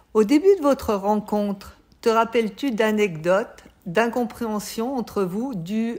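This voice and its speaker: The woman has an unremarkable speaking voice at medium pitch, moving at a fairly slow pace with ordinary pitch variation. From Savoie, southeastern France. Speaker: French teacher and interviewer. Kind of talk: interview. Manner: clear, formal.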